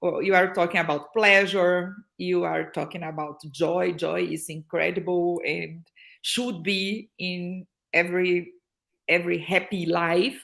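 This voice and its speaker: A woman speaks at a very slow pace and a fairly low pitch with a Portuguese accent, on a very clean recording with a silent background. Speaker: happiness consultant and social entrepreneur. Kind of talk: casual interview. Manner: halting, frequent fillers and repetitions.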